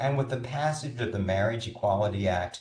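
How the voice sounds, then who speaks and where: A man with an American accent speaks at a fairly low pitch, with vocal fry and very wide pitch swings. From North Carolina. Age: 60s. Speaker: film festival coordinator. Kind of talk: prepared talk.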